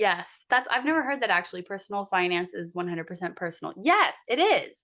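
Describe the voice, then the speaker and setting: A woman talks at a very fast pace and a medium pitch, with very wide pitch swings and a bright, sharp tone. The background is quiet. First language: not English. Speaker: lawyer, coaching client. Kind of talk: casual interview chat.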